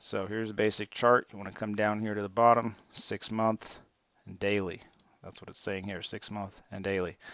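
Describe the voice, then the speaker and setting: Big swings in loudness mark a man's fairly low-pitched voice, delivered in a monotone with flat intonation. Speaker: stock trading youtuber. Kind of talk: screen-share tutorial. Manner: fast; casual, with many fillers.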